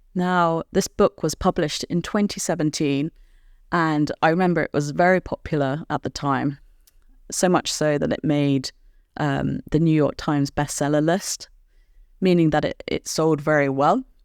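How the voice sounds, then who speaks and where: Recorded very cleanly against a silent background, with a dry, close sound and no echo, a woman speaks at a moderate pace in a very deep, low pitch. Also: ordinary pitch variation. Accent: British. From Britain. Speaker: podcast host and English teacher. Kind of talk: educational podcast for language learners. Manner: clear, measured pace for learners.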